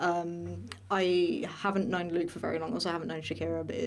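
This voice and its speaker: A woman speaks fairly quickly, with audible echo from the room and noticeable noise in the background. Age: 20s. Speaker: student podcast host, voice acting student. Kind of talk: casual chat. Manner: hesitant, many fillers.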